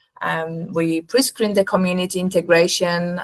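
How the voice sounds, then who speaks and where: A woman's fairly low voice with a Polish accent. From Poland. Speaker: nurse recruitment company representative. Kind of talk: webinar presentation.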